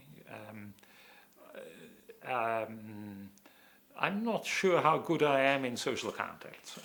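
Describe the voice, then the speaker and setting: Speaking at a very slow pace with long, frequent pauses, a man uses a medium pitch, lively intonation and big swings in loudness. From Austria, Vienna (born in Hungary). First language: German. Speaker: planning professor. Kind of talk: interview. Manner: halting, many fillers.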